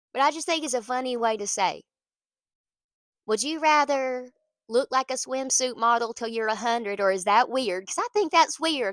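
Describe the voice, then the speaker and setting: A woman with a Southern US accent speaks at a moderate pace in a high voice with lively intonation. The recording is very clean, with a silent background and a dry, close sound with no echo. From US South, small town. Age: 30s. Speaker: pastor. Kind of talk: casual encouragement talk. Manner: animated.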